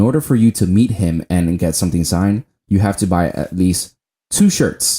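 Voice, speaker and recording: Dry and close with no echo, a man's very deep, low voice has a dark, mellow tone. He keeps a moderate pace with lively intonation. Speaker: podcast co-host. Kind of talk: casual chat. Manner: halting, many fillers.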